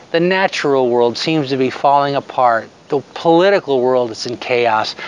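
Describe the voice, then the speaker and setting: The sound is dry, with no echo. A man with a fairly high voice speaks at a fairly slow pace with ordinary pitch variation. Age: 60s. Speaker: devotional speaker. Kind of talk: devotional talk to camera. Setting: outdoors. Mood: hopeful, earnest. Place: open country. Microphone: phone near.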